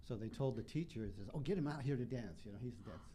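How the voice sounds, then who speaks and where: Speaking very fast, a man with an American accent has a medium pitch and a dark, mellow, somewhat breathy tone. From Utah, Salt Lake City. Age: 70s. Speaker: singer and dancer. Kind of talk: interview.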